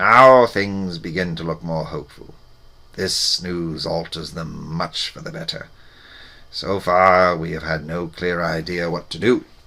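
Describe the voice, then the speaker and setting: A put-on character voice from a man, raspy, very deep and low in pitch, at a fairly slow pace. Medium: read story. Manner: grave, proud.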